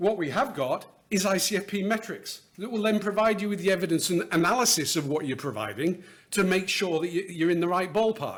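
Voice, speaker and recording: Fairly quick, high-pitched male voice with a British accent and lively intonation. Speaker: education finance consultant presenter. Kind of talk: conference talk. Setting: stage with audience. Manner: fast.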